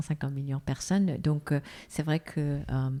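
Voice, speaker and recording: A woman's very deep, low, dark and mellow voice at a moderate pace, on a very clean recording with a silent background. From South Korea. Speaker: foundation president, former executive. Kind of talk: interview. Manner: halting.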